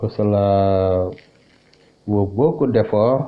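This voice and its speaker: Fairly low pitch from a man's voice. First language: Wolof (speaking French). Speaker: Islamic religious teacher. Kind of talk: religious teaching. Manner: halting, many hesitations.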